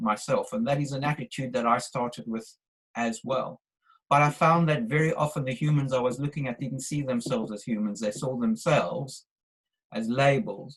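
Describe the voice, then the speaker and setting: In a South African accent, a man speaks at a moderate pace with a medium pitch, ordinary pitch variation and a somewhat breathy quality. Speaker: webinar participant. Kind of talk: discussion question. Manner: halting.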